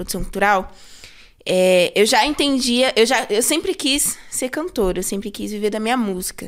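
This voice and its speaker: A woman speaks in an ordinary speaking voice at a fairly slow pace. Her pitch is fairly high, with ordinary pitch variation. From São Paulo Zona Sul, Brazil. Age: 20s. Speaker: cultural producer and singer. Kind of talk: casual podcast interview. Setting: studio.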